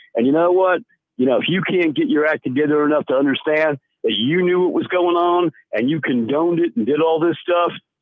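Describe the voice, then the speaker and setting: The loudness stays very even at a fairly quick pace. Pitch varies in an ordinary way. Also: man, fairly high pitch for a man. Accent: South Carolina. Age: 60s. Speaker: caller. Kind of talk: radio call-in. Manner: animated.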